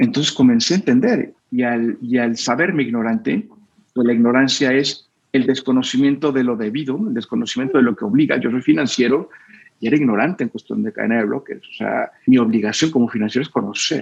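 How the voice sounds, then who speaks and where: Using a normal speaking voice, a man talks at a fairly quick pace with medium pitch and ordinary pitch variation. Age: 40s. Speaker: finance expert and crypto investor. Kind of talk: interview.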